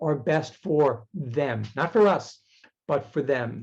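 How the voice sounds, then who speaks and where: A man speaks with a dark, mellow tone. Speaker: technology speaker. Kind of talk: webinar presentation. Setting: video call.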